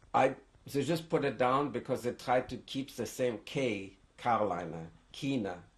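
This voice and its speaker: A man speaks at a medium pitch and a moderate pace, sounding somewhat breathy. His intonation is lively. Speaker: Holocaust survivor. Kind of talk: oral history interview.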